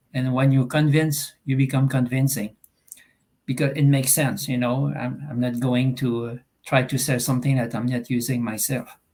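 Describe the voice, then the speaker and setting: With a Quebec accent, a man talks at a moderate pace, medium pitch and fairly even intonation. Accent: Québécois French accent in English. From Eastern Quebec, Canada. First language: French. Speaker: online business member. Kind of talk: video call testimony. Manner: halting.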